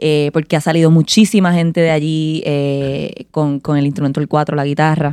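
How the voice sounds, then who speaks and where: Fairly quick and fairly low-pitched, this woman has a plain, everyday voice. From Puerto Rico, Caguas. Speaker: musician, cuatro player. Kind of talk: interview conversation.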